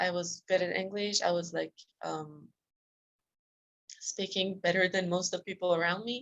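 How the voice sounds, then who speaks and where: A woman of medium pitch talks at a moderate pace, keeping her intonation fairly even. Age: 20s. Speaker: self-discipline coach. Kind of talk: interview. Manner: hesitant, many fillers.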